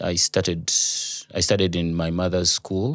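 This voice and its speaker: A man with a Ugandan accent talks in a very deep, low voice. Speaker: radio producer and voice over artist. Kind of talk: interview answer.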